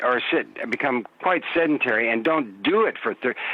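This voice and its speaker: The speech moves at a moderate pace with ordinary pitch variation, against noticeable background noise. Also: man. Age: 70s. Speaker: movement and play educator. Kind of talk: interview answer.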